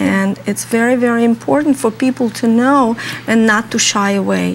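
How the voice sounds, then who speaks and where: Noticeable background noise sits behind a woman speaking with a fairly high pitch. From Russia. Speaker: home health care organization representative. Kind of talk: interview. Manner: halting, many fillers.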